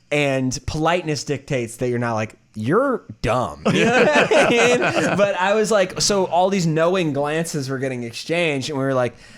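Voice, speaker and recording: A fairly high-pitched male voice with very wide pitch swings at a moderate pace, noticeable background noise behind it. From US South, North Carolina. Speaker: comedian and tour guide. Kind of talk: casual chat.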